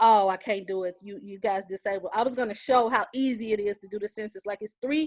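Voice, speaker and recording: In a dry, close recording with no echo, a woman of medium pitch speaks with fairly even intonation and big swings in loudness. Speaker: community panelist. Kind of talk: panel discussion. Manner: fast.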